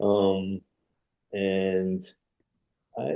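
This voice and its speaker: The speech is mumbled. It comes in a New York accent. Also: man. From New York, Brooklyn. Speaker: retired film still photographer. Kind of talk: interview. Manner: mumbling.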